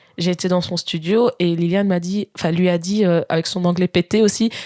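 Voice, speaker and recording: A woman at a moderate pace, with a dry, close sound with no echo and noticeable background noise. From Belgium (Spa, Wallonia). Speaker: singer. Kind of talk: casual chat.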